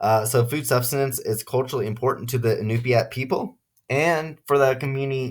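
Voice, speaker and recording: A man's somewhat breathy, medium-pitched voice at a moderate pace, fairly even intonation, very clean recording, silent background. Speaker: student. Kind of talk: class presentation. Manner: halting, many fillers and restarts.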